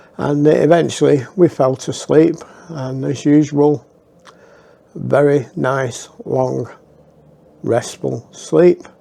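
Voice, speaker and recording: With a Lancashire accent, a man speaks at a very slow pace with long, frequent pauses over noticeable background noise. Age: 60s. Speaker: storyteller. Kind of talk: personal storytelling. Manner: casual, halting with fillers.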